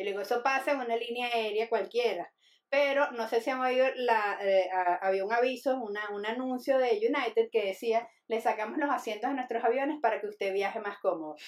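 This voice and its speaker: A woman with an unremarkable speaking voice talks at a fairly quick pace, her fairly high pitch moving with ordinary variation. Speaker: comedian. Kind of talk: casual chat.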